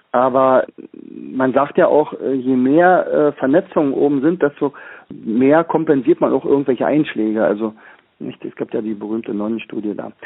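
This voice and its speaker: This man talks at a moderate pace in a medium-pitched voice with ordinary pitch variation. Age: 60s. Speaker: teacher and learning trainer. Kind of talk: interview. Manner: halting, many fillers.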